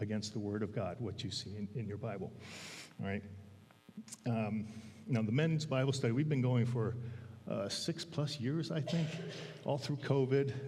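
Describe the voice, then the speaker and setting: A man's medium-pitched, somewhat breathy voice in a dark, mellow tone, at a moderate pace, with audible room echo. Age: 60s. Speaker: church elder giving a sermon. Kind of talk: sermon. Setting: church pulpit with congregation. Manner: halting, many fillers.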